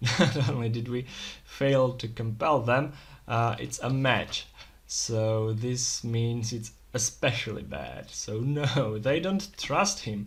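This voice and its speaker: Very slow, somewhat breathy speech from a man at medium pitch, with ordinary pitch variation. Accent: non-native. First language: not English. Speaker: solo tabletop RPG player. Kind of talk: solo roleplaying game narration. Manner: hesitant, thinking aloud.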